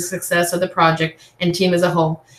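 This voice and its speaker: Noticeable background noise sits under a woman speaking at medium pitch. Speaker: nursing student presenter. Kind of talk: class presentation. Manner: fast.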